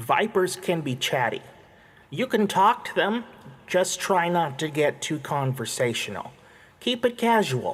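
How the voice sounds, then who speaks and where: A man's put-on character voice, high-pitched and nasal, at a moderate pace. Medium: read story.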